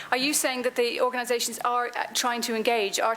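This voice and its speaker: Against noticeable background noise and audible room echo, a woman with an Irish accent speaks at a very fast pace and a high pitch. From Ireland. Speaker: diversity consultant / conference speaker. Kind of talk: conference Q&A answer.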